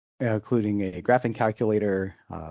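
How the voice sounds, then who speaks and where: A man speaks at a moderate pace in a dark, mellow tone. The sound is dry and close with no echo, over a quiet background. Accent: American. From North America. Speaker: software accessibility specialist. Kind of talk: online presentation. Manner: hesitant, many fillers.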